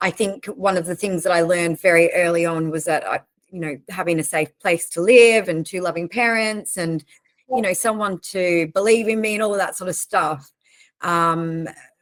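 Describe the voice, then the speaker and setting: In an Australian accent, a woman talks at a moderate pace with a fairly low pitch and ordinary pitch variation. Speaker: recruitment organization leader. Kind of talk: interview.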